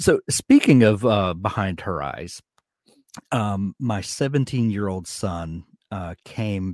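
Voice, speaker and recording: On a very clean recording with a silent background, a man with a Southern US accent speaks at a very deep, low pitch with ordinary pitch variation, in a dry, close sound with no echo. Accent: Southern US drawl. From US South. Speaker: podcast host. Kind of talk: casual interview chat.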